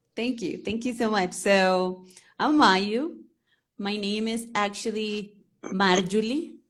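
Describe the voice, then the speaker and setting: A woman with a Spanish accent speaks at a very slow pace in a fairly high pitch. Her pitch varies in an ordinary way, and there is audible room echo. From Venezuela. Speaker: English teacher. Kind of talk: interview on a live stream.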